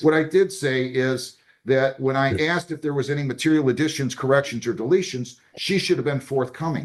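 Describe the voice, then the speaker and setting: Speaking in a normal speaking voice, a man talks fairly quickly at a medium pitch with ordinary pitch variation. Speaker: judge. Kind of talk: courtroom hearing. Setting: courtroom.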